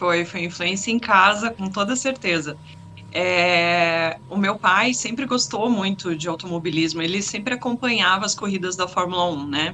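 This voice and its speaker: A normal speaking voice with ordinary pitch variation at a moderate pace. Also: woman, medium pitch for a woman. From Curitiba, southern Brazil. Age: 30s. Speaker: sim racing driver. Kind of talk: interview.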